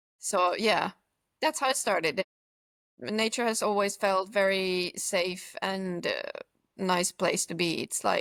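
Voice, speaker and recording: A woman with a Finnish accent talks at a fairly slow pace with ordinary pitch variation, in a dry, close sound with no echo. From central Finland. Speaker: long-distance hiker. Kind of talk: casual interview. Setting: video call.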